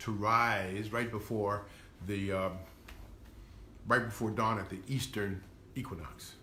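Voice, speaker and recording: A man's fairly low, bright, sharp voice at a fairly slow pace, with audible room echo. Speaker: historian lecturer. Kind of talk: lecture. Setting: live stream. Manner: halting.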